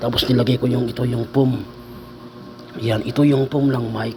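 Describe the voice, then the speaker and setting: Noticeable background noise sits behind a man at medium pitch. His intonation is monotone and flat, his pace fairly quick. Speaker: vlogger. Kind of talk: casual vlog talk. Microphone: cheap earphone mic, voice quiet.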